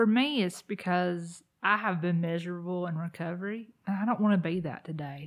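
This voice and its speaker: A woman with an unremarkable speaking voice talks at a fairly low pitch with ordinary pitch variation and hardly any pauses, on a very clean recording with a silent background. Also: moderate pace. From US South, South Carolina. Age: 30s. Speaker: peer support specialist. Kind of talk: casual chat.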